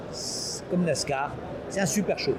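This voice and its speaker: Over noticeable background noise, a man speaks high-pitched with fairly even intonation. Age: 70s. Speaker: company founder. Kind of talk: interview. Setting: trade show. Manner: halting.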